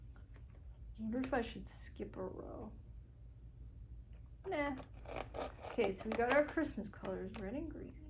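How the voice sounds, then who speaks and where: Long pauses come often as a soft-spoken woman talks fairly slowly. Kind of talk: casual soft-spoken talk to camera, thinking aloud while crafting. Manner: soft-spoken, unhurried, muttering to self.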